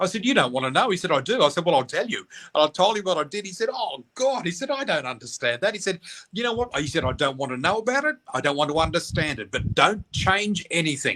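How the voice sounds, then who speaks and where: Talking at a very fast pace, a man with an Australian accent uses a high pitch, a bright, sharp and animated tone, and very wide pitch swings. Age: 60s. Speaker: psychic medium. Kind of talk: interview.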